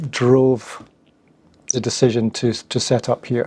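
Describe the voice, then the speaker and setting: A man with a Scottish accent speaks at a fairly slow pace and medium pitch, in a monotone, flat intonation. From Scotland. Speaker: founder of content marketing agency. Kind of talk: interview.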